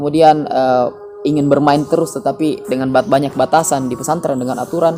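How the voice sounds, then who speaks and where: Music plays in the background. A man with a fairly high voice speaks at a very fast pace. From Central Java, Indonesia. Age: 30s. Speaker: teacher. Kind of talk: interview. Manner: halting.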